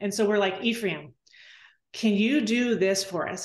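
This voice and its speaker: A woman talks with an American accent. Her pitch is fairly high. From Southern California. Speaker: photographer and wedding venue owner. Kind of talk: interview.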